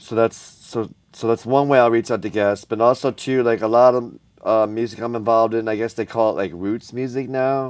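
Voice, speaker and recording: Over a quiet background, a man with an American accent talks at a fairly quick pace, his medium pitch kept to fairly even intonation. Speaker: video show host. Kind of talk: casual chat. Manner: fast.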